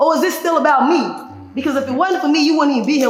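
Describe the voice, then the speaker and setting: With an American accent, a woman speaks in an animated tone at a high pitch, amid noticeable background noise and audible room echo. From Chicago, US Midwest. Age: 30s. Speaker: community activist. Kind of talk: podcast interview.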